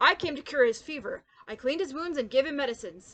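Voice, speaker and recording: In a put-on character voice, a woman speaks at a very fast pace with a high pitch and lively intonation. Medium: read story.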